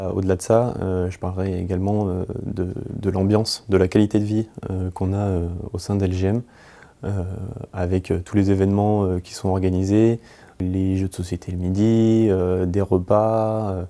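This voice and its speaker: A man's very deep, low voice with a dark, mellow tone and monotone, flat intonation, on a very clean recording with a silent background. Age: 20s. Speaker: project management consultant. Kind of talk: employee testimonial interview. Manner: hesitant, many filler words.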